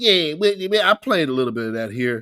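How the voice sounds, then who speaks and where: In a bright, sharp tone, a man with an American accent speaks on a very clean recording with a silent background. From US West Coast. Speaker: political commentary streamer. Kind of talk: casual livestream commentary. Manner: halting, repeats words.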